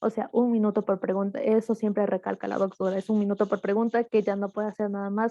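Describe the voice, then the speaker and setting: Very fast and with hardly any pauses, a woman speaks in a monotone, flat, medium-pitched voice with a dark, mellow tone, recorded dry and close with no echo against a quiet background. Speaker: medical student. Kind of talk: casual online meeting talk. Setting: video call.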